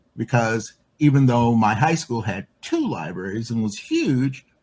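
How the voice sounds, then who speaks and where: Speaking at a fairly slow pace, a man with an American accent sounds somewhat breathy. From Chicago. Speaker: LGBTQ and women's activist. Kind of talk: interview answer.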